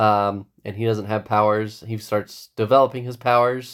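Moderately paced, a man with an unremarkable speaking voice keeps a fairly even intonation. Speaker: podcast host. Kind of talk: casual chat.

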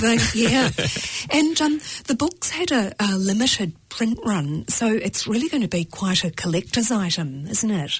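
Very slowly and with a New Zealand accent, a woman speaks in a fairly high voice whose pitch swings very widely while her loudness stays very even, with noticeable background noise behind her. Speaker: radio show host, interviewer. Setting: studio.

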